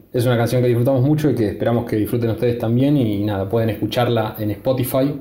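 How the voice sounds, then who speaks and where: Spoken in a monotone with flat intonation, the voice sits over noticeable background noise. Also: man. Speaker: guitarist and songwriter. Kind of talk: casual interview answer. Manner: halting, hesitant.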